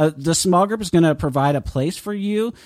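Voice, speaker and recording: A man talks at a moderate pace in an ordinary speaking voice. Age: 40s. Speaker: author and ministry director. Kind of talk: interview.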